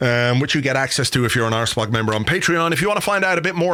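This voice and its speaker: A man speaks at a very fast pace in a medium-pitched voice. Noticeable background noise runs behind him. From Ireland, south Dublin (early childhood London and Yorkshire). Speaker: football podcast host. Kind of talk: casual chat.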